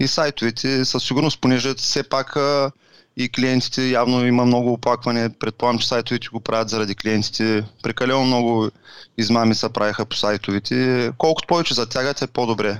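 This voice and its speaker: Recorded with a dry, close sound and no echo, a man with a plain, everyday voice speaks at medium pitch with fairly even intonation. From Bulgaria, Varna. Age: 30s. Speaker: professional poker player and online seller. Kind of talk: interview.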